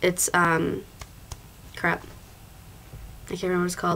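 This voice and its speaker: With a fairly low pitch, a woman talks at a fairly quick pace. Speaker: college student vlogger. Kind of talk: casual vlog. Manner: hesitant, many fillers.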